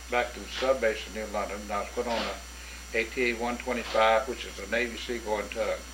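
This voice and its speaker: A man talks at a fairly quick pace, with big swings in loudness. Noticeable background noise and audible room echo surround him. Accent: Southern US. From north Florida. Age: 70s. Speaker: war veteran. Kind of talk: oral history interview.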